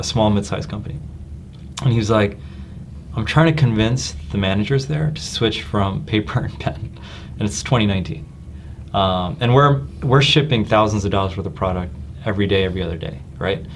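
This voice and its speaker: A man with an American accent talks at a fairly quick pace and a fairly low pitch. His pitch swings very widely, and room echo is audible. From New Jersey. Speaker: tech company executive. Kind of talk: casual chat.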